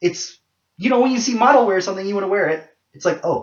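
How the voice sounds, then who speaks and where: A man speaks with a high pitch. His pitch shows ordinary variation. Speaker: video blogger. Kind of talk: casual monologue vlog.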